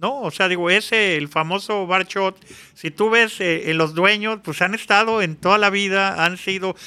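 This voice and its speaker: In a very clean recording with a silent background, a man with a high pitch and a bright, sharp tone speaks in a raised, projected voice at a fairly slow pace. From Mexico City. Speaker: public security consultant. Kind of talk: interview. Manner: halting, many repetitions.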